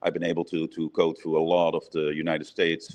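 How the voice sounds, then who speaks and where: A man with a Dutch accent. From Netherlands. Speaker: brewery owner and head brewer. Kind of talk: interview.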